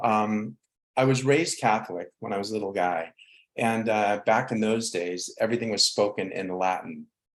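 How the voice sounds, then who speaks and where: A man's fairly low pitch, a plain, everyday voice, at a moderate pace with ordinary pitch variation. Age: 60s. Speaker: spiritual counselor. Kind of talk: interview.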